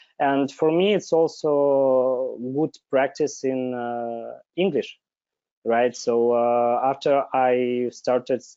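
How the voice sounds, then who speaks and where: A man at a medium pitch, speaking at a very slow pace with fairly even intonation. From Belarus. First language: Belarusian or Russian. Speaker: software developer. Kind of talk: interview. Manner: halting, many filler sounds.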